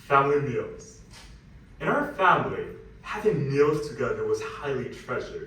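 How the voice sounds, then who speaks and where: A man keeps a moderate pace amid audible room echo and noticeable background noise. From Westchester, New York (born Shanghai). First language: Mandarin. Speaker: student speaker. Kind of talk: personal talk on stage.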